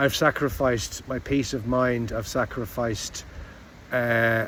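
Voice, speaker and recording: With a British accent, a man speaks at a very slow pace. His pitch is medium. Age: 60s. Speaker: vlogger. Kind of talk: personal reflective monologue. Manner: halting, with restarts.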